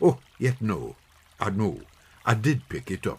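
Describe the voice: A man's put-on character voice with a Scottish accent, fairly low pitch, a husky, rough edge, very wide pitch swings, and a slow pace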